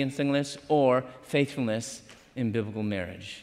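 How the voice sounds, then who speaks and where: Someone with a plain, everyday voice and an American accent speaks at a moderate pace with fairly even intonation. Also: man. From Chicago, US Midwest. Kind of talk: sermon. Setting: university chapel with live audience.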